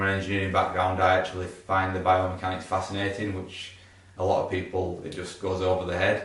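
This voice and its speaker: Amid noticeable background noise, a man with a Yorkshire accent talks at a fairly quick pace in a very deep, low voice with monotone, flat intonation. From Yorkshire, England. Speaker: osteopath. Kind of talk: casual talk to camera.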